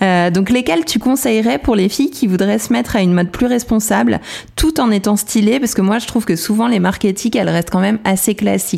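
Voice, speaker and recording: A woman speaks very fast with lively intonation. Her pitch is medium and her loudness very even. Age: 30s. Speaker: podcast host. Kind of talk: casual interview chat.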